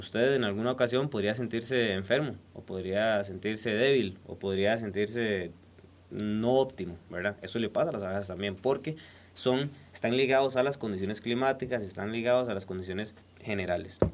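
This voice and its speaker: A man uses a normal speaking voice, fairly low in pitch, moving at a moderate pace with ordinary variation in pitch. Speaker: beekeeper and honey producer. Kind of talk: casual interview. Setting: recording studio.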